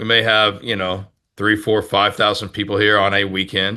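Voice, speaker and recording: A bright, sharp voice with an American accent speaks at a moderate pace against a quiet background. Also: man. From Texas. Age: 50s. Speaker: pastor. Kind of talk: interview.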